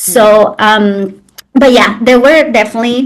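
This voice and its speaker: This woman talks in a fairly high pitch with ordinary pitch variation and a Mexican accent. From Mexico, Xalapa, Veracruz. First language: Spanish. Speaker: traditional birthkeeper and sobadora. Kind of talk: interview conversation. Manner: hesitant with fillers.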